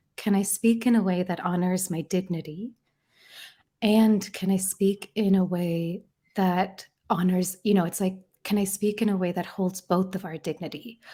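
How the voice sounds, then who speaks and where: Over a very clean recording with a silent background, a soft-spoken, somewhat breathy voice with a dark, mellow, gentle tone speaks in a monotone, flat intonation. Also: woman, medium pitch for a woman, moderate pace. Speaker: author and therapy facilitator. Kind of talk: podcast interview. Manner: soft and gentle.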